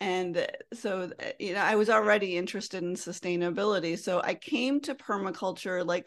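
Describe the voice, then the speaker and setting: This woman has an ordinary speaking voice with an American accent, pitched at a medium level. She talks at a moderate pace with ordinary pitch variation. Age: 50s. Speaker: green living and money coach. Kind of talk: interview conversation.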